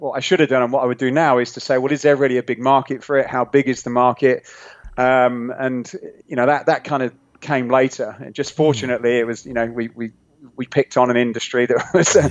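In a British accent, a man with a medium-pitched voice talks very fast with fairly even intonation. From England. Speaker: fitness equipment entrepreneur. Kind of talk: interview.

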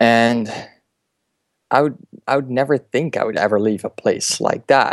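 A man with a Dutch accent speaks with long, frequent pauses. The sound is dry and close, with no echo. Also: medium pitch for a man, fairly even intonation, moderate pace. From Netherlands. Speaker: motion designer. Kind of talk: interview.

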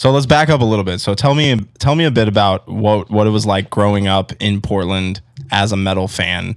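Speaking at a fairly quick pace, a man with a plain, everyday voice has a fairly low pitch and ordinary pitch variation. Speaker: radio podcast host. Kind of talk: casual interview and announcements. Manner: upbeat, casual.

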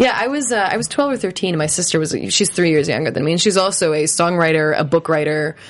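With an American accent and a fairly low pitch, a woman speaks at a very fast pace with lively intonation and hardly any pauses over noticeable background noise. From grew up outside the United States. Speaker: singer-songwriter. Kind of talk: interview. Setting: studio.

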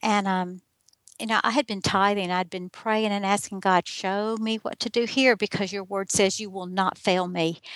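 In a very clean recording with a silent background and a dry, close sound with no echo, a woman with a Southern US accent speaks at a moderate pace, her medium pitch carried by fairly even intonation. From US South. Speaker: life coach and writer. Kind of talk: interview testimony.

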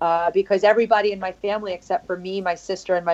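With a New York accent, a woman of medium pitch speaks very fast in a monotone, flat intonation. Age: 40s. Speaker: fitness coach and podcast host. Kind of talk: casual interview.

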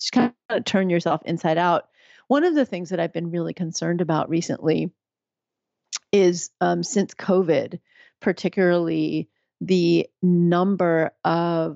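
A woman with a plain, everyday voice and an American accent speaks at a fairly slow pace and fairly low pitch, with fairly even intonation. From US, New York City. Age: 50s. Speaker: physician and midwife. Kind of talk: interview.

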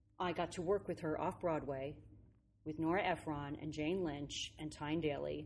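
With a very deep, low pitch and vocal fry, a woman speaks at a moderate pace and fairly even intonation in a very clean recording with a silent background. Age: 50s. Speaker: actress and comedian. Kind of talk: casual interview. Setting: rehearsal studio.

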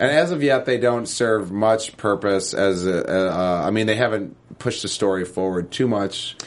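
In an ordinary speaking voice, a man with a fairly low pitch talks at a moderate pace, with ordinary pitch variation and hardly any pauses. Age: 30s. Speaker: TV after-show podcast co-host. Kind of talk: casual chat.

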